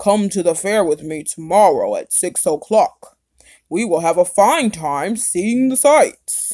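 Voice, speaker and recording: In a put-on character voice, a female-sounding voice at middle pitch speaks at a fairly slow pace. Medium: read story. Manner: roaring, then falsely kind.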